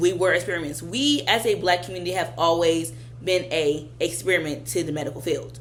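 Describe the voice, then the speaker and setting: A woman speaks at a fairly quick pace, with audible room echo around her voice. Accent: American. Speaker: vlogger. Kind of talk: casual monologue.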